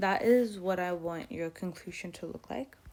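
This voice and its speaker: Using an ordinary speaking voice, a woman talks at medium pitch and a moderate pace. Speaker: tutor. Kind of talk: tutorial.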